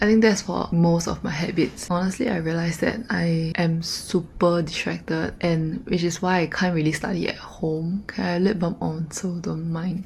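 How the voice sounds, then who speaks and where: A woman speaks with a fairly low pitch. Noticeable background noise is present. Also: moderate pace, hardly any pauses. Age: 20s. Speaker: vlogger, university student. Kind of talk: casual vlog monologue. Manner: animated.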